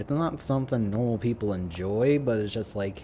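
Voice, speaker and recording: A man with ordinary pitch variation. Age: 20s. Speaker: streamer. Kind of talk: casual chat. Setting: live stream. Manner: halting.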